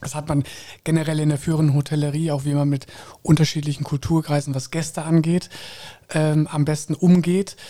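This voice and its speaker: A man speaks at a fairly quick pace in a fairly high pitch with a dark, mellow tone. His somewhat breathy delivery stays monotone and flat. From Koblenz, Rhineland, Germany. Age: 30s. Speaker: hotel general manager. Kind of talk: interview. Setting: hotel penthouse.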